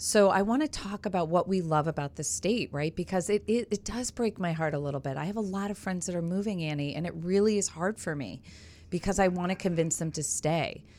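A woman talks at a fairly quick pace with an animated tone. Her pitch varies in an ordinary way. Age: 40s. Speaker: podcast host, former TV news reporter. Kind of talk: casual interview chat. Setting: radio studio.

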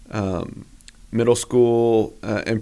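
In a plain, everyday voice, a man with an American accent speaks at a medium pitch with fairly even intonation. The recording is very clean, with a silent background. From US Northeast (western Massachusetts). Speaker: pastor and church planter. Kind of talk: casual interview chat.

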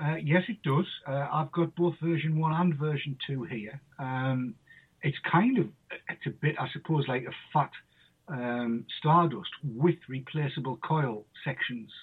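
With a northern English accent, a man talks at a fairly high pitch. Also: ordinary pitch variation. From northern England. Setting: phone call.

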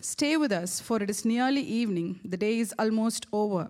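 An ordinary speaking voice from a woman, fairly high in pitch with ordinary pitch variation. She speaks at a moderate pace in a very clean recording with a silent background. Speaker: church staff member reading scripture. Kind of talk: reading aloud. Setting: church.

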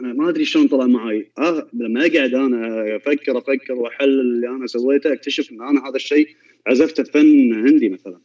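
A man at medium pitch and a moderate pace, with hardly any pauses, fairly even intonation and big swings in loudness. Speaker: violinist. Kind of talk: casual chat.

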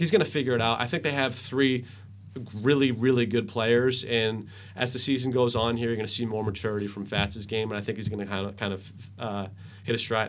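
A man with an American accent, medium in pitch, fairly quick, with fairly even intonation and audible room echo. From Worcester, Massachusetts. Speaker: sports anchor and radio host. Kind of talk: casual sports interview.

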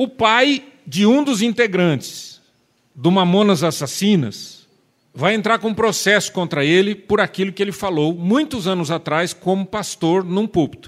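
A man with a high voice and lively intonation speaks at a fairly slow pace. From Marília, São Paulo state, Brazil. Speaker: preacher. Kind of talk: sermon. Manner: animated.

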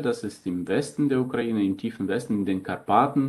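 Moderate pace and medium pitch from a man, with normal variation in pitch. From Germany (Thuringia, raised by Ukrainian parents). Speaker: priest. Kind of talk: interview. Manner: hesitant, with fillers.

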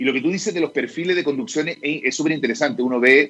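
At a fairly quick pace, a man with a fairly high pitch speaks in very wide pitch swings. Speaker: technology executive. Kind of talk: casual chat.

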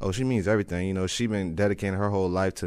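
A man's very deep, low voice with an American accent, on a very clean recording with a silent background. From Lakeland, Florida. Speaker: college football player. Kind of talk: sports interview.

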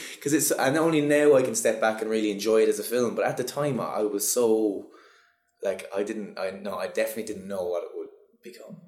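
Audible room echo surrounds a man with a Cork accent. He talks at a very fast pace. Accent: Cork Irish. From Ireland, Cork. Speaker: actor. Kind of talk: casual interview. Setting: office.

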